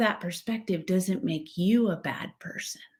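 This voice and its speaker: Somewhat breathy and with an American accent, the voice moves very slowly through very wide pitch swings. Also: woman. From western United States. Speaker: educator and leader. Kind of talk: interview conversation.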